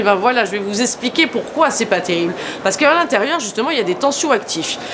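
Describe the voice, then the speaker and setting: A woman speaks very fast in a high voice with very wide pitch swings, over noticeable background noise. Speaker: skincare trainer and school founder. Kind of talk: educational explainer to beauty professionals. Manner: casual, lively.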